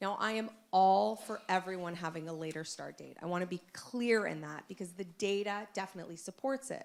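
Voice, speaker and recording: Here a woman at a medium pitch talks at a fairly quick pace with hardly any pauses. Her loudness swings widely, while her pitch varies in an ordinary way. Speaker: parent giving public comment. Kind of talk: public comment at school board meeting. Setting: public meeting with microphone.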